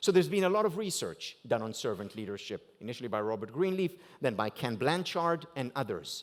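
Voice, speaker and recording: Speaking at a fairly quick pace, a man with an Israeli accent makes very wide pitch swings. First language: Hebrew. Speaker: keynote speaker. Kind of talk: keynote speech.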